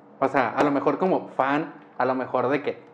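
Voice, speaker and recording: Noticeable background noise surrounds this speaker. He is a man with a fairly high voice. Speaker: podcast host. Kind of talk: casual chat.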